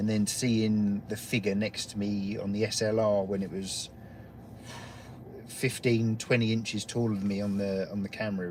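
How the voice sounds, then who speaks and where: Monotone and flat in intonation, a man with an English accent talks at a fairly low pitch and a moderate pace. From England. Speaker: guest paranormal investigator. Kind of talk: casual chat.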